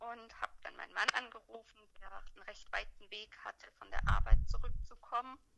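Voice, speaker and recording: The speech runs at a moderate pace with hardly any pauses and big swings in loudness over noticeable background noise. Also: woman. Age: 30s. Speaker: mother telling her birth story. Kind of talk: testimony.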